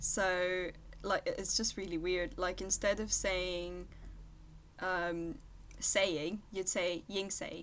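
Using a French accent and vocal fry, a woman talks at a very slow pace with long, frequent pauses and fairly even intonation. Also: medium pitch for a woman. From France, near Paris (Versailles). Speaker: veterinary student. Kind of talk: casual interview.

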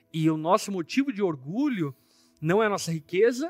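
This man's high voice moves through very wide pitch swings. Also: dry, close sound with no echo. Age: 30s. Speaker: pastor. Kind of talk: Bible study discussion. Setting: studio.

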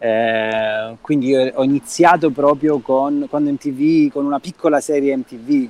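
A man's intonation stays fairly even as he talks very slowly. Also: fairly high pitch for a man, dry, close sound with no echo. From Calabria, Reggio Calabria. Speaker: film director. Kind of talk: casual interview. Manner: halting, with repeated words.

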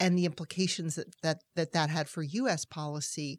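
A plain, everyday voice with an American accent speaks at a moderate pace with fairly even intonation, in a very clean, dry, close recording with no echo and a silent background. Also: woman. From US Northeast (Massachusetts). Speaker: foreign policy expert, nonprofit president. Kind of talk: interview.

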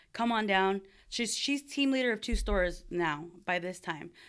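On a very clean recording with a silent background, a woman talks with a Californian accent. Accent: Californian American. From Southern California (Buena Park). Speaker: barber and area coach. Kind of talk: interview storytelling. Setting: in person, Southern California.

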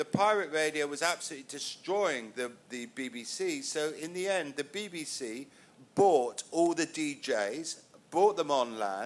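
A man with a southern English accent, fairly high-pitched, speaking at a very slow pace. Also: lively intonation. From England. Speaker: music manager, panelist. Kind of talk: panel discussion. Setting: stage with audience.

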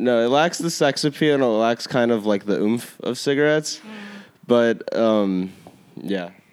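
A man speaks at a moderate pace with ordinary pitch variation. His is a plain, everyday voice. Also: medium pitch for a man. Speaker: guest talking about vaping among peers. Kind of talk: casual chat.

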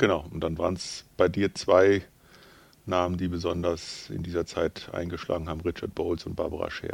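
A man speaks in a very deep, low voice with a monotone, flat intonation at a moderate pace, on a very clean recording with a silent background. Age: 50s. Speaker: pastor and theologian. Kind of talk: casual chat.

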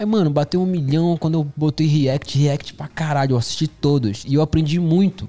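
Somewhat breathy, a man speaks at a fairly high pitch with a dark, mellow tone. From northern Brazil. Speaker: videomaker. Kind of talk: casual chat. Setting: studio.

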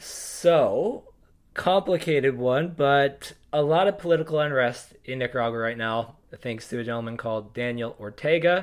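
A man has a plain, everyday voice, fairly high in pitch. His intonation is lively and his pace moderate. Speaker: surf media podcast co-host. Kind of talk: casual podcast banter. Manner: joking, casual.

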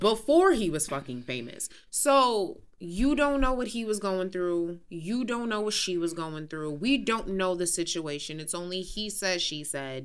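A woman's medium-pitched, fairly slow speech with very wide pitch swings, hardly any pauses and audible room echo. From New York City, Queens. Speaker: podcast co-host. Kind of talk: casual chat. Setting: studio.

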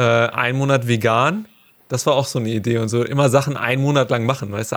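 The speech comes at a very fast pace in monotone, flat intonation. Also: man. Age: 30s. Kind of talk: casual chat.

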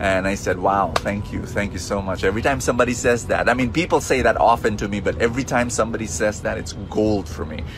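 A man's very fast, fairly low-pitched voice with ordinary pitch variation and hardly any pauses, over noticeable background noise and audible room echo. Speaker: preacher. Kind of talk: sermon.

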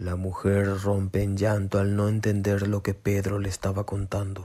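A man speaks at a moderate pace with a fairly low pitch and a dark, mellow tone. His intonation is flat and monotone.

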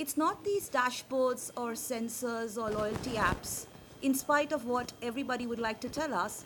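Over noticeable background noise, a woman speaks in a high pitch with ordinary pitch variation. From India. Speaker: social platform founder. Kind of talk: conference talk. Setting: stage with audience. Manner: fast.

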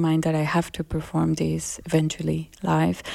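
A woman's fairly low, monotone, flat delivery at a moderate pace, in a very clean recording with a silent background. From Colombia. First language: Spanish. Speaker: musician and producer. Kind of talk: interview.

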